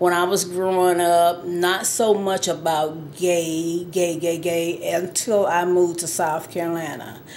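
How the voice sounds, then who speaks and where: Very slow speech from a woman with fairly low pitch, plus audible room echo. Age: 60s. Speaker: interviewee sharing personal experience. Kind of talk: testimony.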